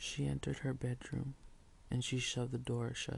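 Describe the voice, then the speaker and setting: A soft-spoken man talks at a moderate pace. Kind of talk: read story.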